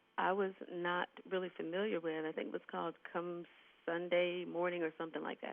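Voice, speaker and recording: A woman at a fairly low pitch, moving at a moderate pace. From Ohio, Youngstown. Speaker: jazz singer. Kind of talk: radio interview. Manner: soft-spoken.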